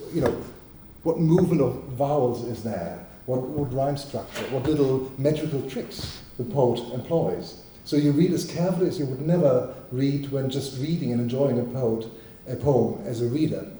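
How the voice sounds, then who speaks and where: Over noticeable background noise and audible room echo, a man with a German accent talks at a moderate pace and medium pitch with ordinary pitch variation. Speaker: poet and translator. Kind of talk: panel discussion. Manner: halting.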